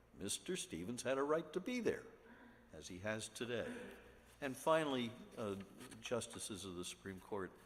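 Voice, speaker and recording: In a room with audible echo, a man of medium pitch speaks at a moderate pace, with very wide pitch swings, big swings in loudness, and long, frequent pauses. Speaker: attorney. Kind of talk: oral argument before court. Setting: courtroom.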